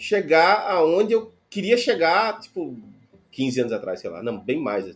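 This man talks at a moderate pace while his pitch swings very widely. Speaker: podcast host, software developer. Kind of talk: casual chat.

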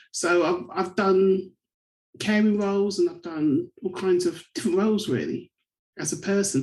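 A woman speaks at a moderate pace with a southern English accent, medium pitch and ordinary pitch variation. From England, Bedford. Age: 40s. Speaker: community advocate. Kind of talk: interview.

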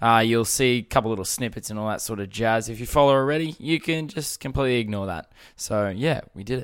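In a very clean recording with a silent background, a man with an Australian accent and a medium pitch speaks very fast with hardly any pauses. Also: ordinary pitch variation. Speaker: podcast host. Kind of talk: casual chat. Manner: loud; animated.

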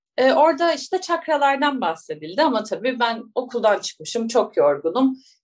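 Her pitch high with very wide pitch swings, a woman talks at a moderate pace. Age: 30s. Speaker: biologist and astrology coach. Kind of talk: interview conversation. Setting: remote call.

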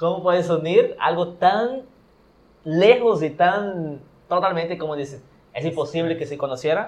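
Speaking at a fairly slow pace, a man with a high voice uses ordinary pitch variation and makes big swings in loudness. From Brazil. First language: Portuguese (speaking Spanish). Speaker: podcast guest, traveler. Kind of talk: casual chat.

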